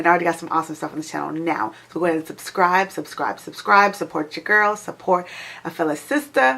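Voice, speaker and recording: A woman's bright, sharp, animated tone at a fairly low pitch. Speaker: beauty vlogger. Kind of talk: product review vlog.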